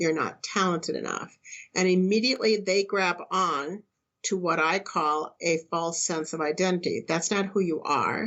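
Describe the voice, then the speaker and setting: A woman speaks at a moderate pace in a fairly low voice with ordinary pitch variation. It is an unremarkable speaking voice. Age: 60s. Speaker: spiritual teacher and counselor. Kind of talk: interview.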